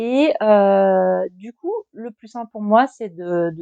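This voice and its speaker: Dry and close with no echo, a woman speaks at medium pitch in a dark, mellow tone. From Grand Est, France. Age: 40s. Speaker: YouTuber, author on trauma and anxiety. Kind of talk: casual personal vlog talk. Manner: hesitant, many fillers.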